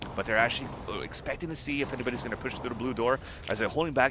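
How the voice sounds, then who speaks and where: A man at a very fast pace, medium pitch and ordinary pitch variation, over noticeable background noise. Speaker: esports commentator. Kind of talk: live commentary. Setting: live event venue near players.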